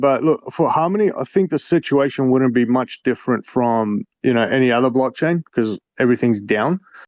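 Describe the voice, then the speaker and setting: In an Australian accent, a man talks at a medium pitch. His pace is moderate, with ordinary pitch variation. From Australia, Melbourne. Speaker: crypto game developer. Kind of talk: casual interview.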